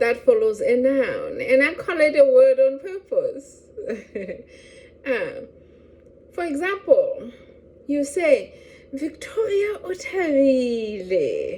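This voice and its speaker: The speech is very slow, in a Lesotho accent, with long, frequent pauses. Pitch swings very widely over noticeable background noise. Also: woman, extremely high pitch for a woman. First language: Sesotho. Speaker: language teacher. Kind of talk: educational talk to camera.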